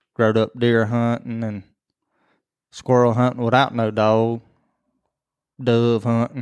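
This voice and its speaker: Over a quiet background, someone talks at a moderate pace in a rural Southern US accent. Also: man. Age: 30s. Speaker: podcast co-host, hunter. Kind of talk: casual chat.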